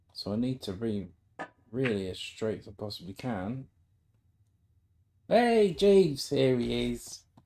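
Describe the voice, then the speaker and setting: A man with a British accent at a fairly slow pace, broken by long, frequent pauses. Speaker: amateur snooker player streaming his practice. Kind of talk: casual live-stream commentary while playing. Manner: chatty, thinking aloud with frequent ums.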